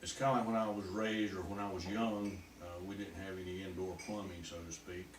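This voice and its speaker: The voice stays flat and monotone at a fairly quick pace, with hardly any pauses. Noticeable background noise runs underneath. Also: man, fairly low pitch for a man. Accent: Southern US. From North Carolina. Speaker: war veteran. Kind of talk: interview answer.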